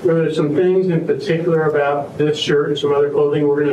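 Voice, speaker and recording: Talking at a very fast pace, a man is heard with audible room echo and light background noise. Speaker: prosecutor. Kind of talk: courtroom witness examination. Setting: courtroom. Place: hall.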